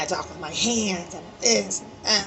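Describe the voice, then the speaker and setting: Amid noticeable background noise and audible room echo, a woman speaks at a moderate pace. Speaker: astrology reader. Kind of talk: tarot reading monologue. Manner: loud, passionate; casual, filler-heavy.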